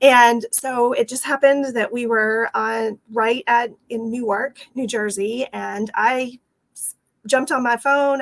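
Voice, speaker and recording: A woman in a Texas accent, fairly high-pitched and fairly slow, with fairly even intonation and a dry, close sound with no echo. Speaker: franchise owner. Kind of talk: interview.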